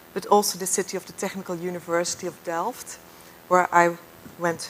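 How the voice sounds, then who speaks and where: A woman with a Dutch accent, fairly low-pitched, at a moderate pace. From southern Netherlands. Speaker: architect. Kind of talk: lecture.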